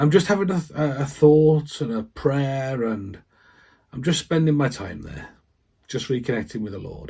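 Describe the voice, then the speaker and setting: With lively intonation and a medium pitch, a man speaks at a moderate pace in a dark, mellow, somewhat breathy tone. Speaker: vicar. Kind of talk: personal testimony to camera. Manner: halting, with repetitions.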